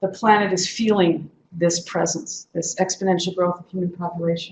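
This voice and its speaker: At a moderate pace, a woman speaks with a fairly low, somewhat breathy voice and fairly even intonation. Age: 60s. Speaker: activist speaker. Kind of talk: lecture.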